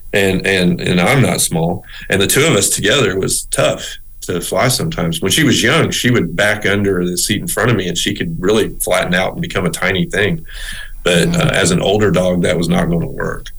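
Lively intonation marks a man's fairly low-pitched voice, delivered at a fairly quick pace. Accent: Southern US. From US South (Little Rock, Arkansas and South Texas). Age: 50s. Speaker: rehabilitation counselor. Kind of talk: casual interview. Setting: remote call.

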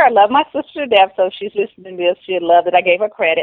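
A woman's voice sits at a medium pitch and shows ordinary pitch variation. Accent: Southern US. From US South, Carolinas. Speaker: personal branding coach and professor. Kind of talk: interview.

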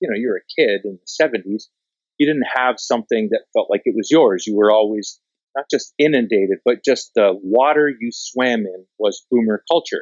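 Speaking with a Canadian accent, a man has a plain, everyday voice at a medium pitch, a moderate pace and ordinary pitch variation. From Canada, rural southwestern Ontario. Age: 50s. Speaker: documentary filmmaker. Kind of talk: interview.

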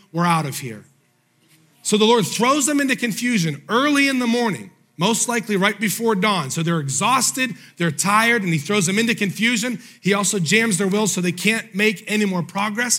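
Raising and projecting his voice, a man with a high pitch speaks at a fairly quick pace in an animated, bright, sharp tone with lively intonation, in a very clean recording with a silent background. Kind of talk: sermon. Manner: animated, call-and-response preaching; emphatic, urgent, driving rhythm.

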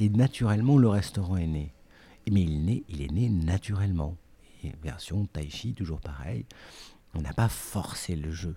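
Very deep and low, this man's voice is somewhat breathy with a dark, mellow tone. He speaks at a fairly slow pace with lively intonation on a very clean recording with a silent background. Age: 40s. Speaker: artistic director and editor of a cooking company. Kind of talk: interview. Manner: halting, many repetitions and fillers.

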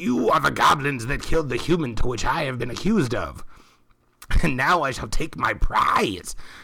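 Putting on a character voice, a man speaks raspily at a medium pitch and a moderate pace. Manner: formal, grandiose.

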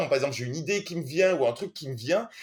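A man is speaking. His intonation is lively. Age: 40s. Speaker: film director and screenwriter. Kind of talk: interview.

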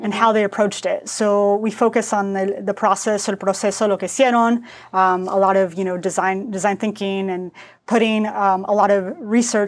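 In a very clean recording with a silent background, a woman speaks at a moderate pace and medium pitch with monotone, flat intonation. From US Southwest (Phoenix, Arizona), Mexican-American family. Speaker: product designer. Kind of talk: casual interview chat, code-switching Spanish and English. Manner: halting Spanish with many fillers and repetitions.

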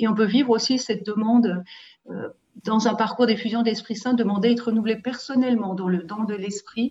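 Here is a woman with a plain, everyday voice at a fairly high pitch. She talks at a fairly quick pace with fairly even intonation. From Switzerland, Valais (Saillon). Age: 50s. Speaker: pastoral worker. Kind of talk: testimony.

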